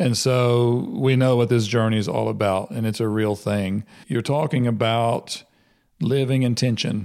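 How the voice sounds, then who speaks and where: A normal speaking voice at a fairly slow pace, very even in loudness, with ordinary pitch variation, on a very clean recording with a silent background. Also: man, medium pitch for a man. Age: 50s. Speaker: podcast host and ministry leader. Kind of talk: casual interview chat. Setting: in a home.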